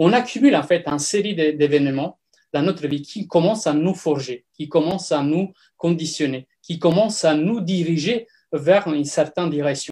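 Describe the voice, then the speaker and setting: A man with an Italian accent, fairly high in pitch with ordinary variation, and a dark, mellow tone. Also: moderate pace. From Italy. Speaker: personal development coach. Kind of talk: talk on personal growth. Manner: halting, many fillers.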